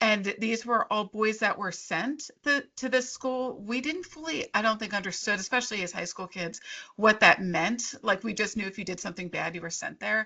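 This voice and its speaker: With a Philadelphia-area accent, the speaker goes at a moderate pace with ordinary pitch variation and hardly any pauses. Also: woman, fairly high pitch for a woman. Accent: Delco Philadelphia-area. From Delaware County, Pennsylvania. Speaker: young adult horror author. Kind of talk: author conversation. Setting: video call.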